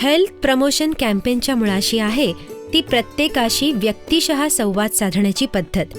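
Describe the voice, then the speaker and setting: Music plays in the background as a woman speaks at a fairly high pitch. Her intonation is lively and her loudness very even. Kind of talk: documentary narration. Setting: studio.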